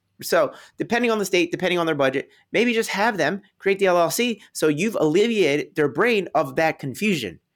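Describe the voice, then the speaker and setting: A man talks fairly quickly at a high pitch, with lively intonation and very even loudness. The recording is very clean, with a silent background. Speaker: real estate investor. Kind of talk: interview conversation. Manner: fast.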